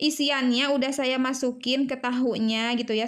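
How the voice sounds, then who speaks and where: This woman's voice is shrill. Her intonation stays monotone and flat. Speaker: homemaker vlogger. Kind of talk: casual vlog narration. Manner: chatty, hesitant with fillers.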